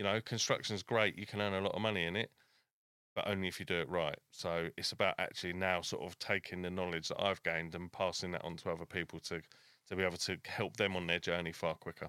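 A man's very deep, low voice with a bright, sharp tone, monotone and flat, at a very fast pace, dry and close with no echo on a very clean recording with a silent background. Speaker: construction manager and mentor. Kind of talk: casual interview chat.

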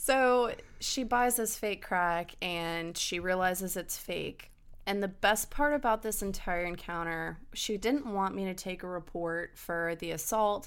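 At a fairly slow pace, a woman with an American accent speaks in a plain, everyday voice at a medium pitch with ordinary pitch variation, on a very clean recording with a silent background. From Hampton Roads, Virginia (military family). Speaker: law enforcement officer. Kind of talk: casual chat.

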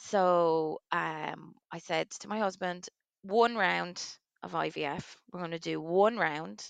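Against a quiet background, a woman with a Waterford Irish accent speaks very slowly in a fairly low voice, with ordinary pitch variation and big swings in loudness. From Ireland, Waterford. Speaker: commercial director, twin mother. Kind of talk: interview testimony. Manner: animated.

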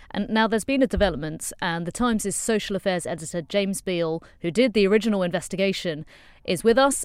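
Speaking at a very fast pace, a woman has a medium pitch and ordinary pitch variation. The recording is very clean, the background silent. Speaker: news podcast host. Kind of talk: news roundup presenting.

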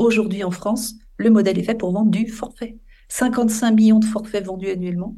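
A woman's somewhat breathy, dark and mellow voice sits fairly high in pitch, with monotone, flat intonation and audible room echo. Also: moderate pace. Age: 50s. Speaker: environmental association founder. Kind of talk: interview.

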